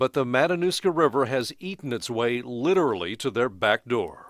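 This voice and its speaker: A man with a plain, everyday voice speaks at a moderate pace. His pitch is medium and his intonation lively. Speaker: TV news reporter. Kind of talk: TV news report narration.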